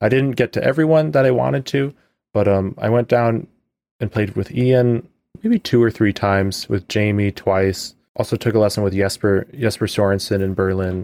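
A man's fairly low, normal speaking voice at a moderate pace with ordinary pitch variation, in a very clean recording with a silent background and a dry, close sound with no echo. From US Midwest (Chicago area). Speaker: orchestral trombonist. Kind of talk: interview.

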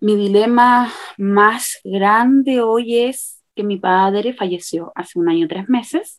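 Her fairly high-pitched voice shows ordinary pitch variation as this woman speaks at a very slow pace. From Chile, Santiago. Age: 30s. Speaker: bride-to-be planning her wedding. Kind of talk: casual interview chat.

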